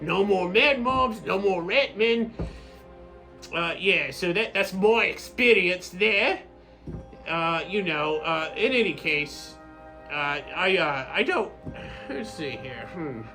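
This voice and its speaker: Using a put-on character voice pitched high, a man speaks at a fairly slow pace with long, frequent pauses while clear music plays in the background. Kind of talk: rambling in-character monologue to camera. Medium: role play. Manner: halting, hesitant, full of fillers.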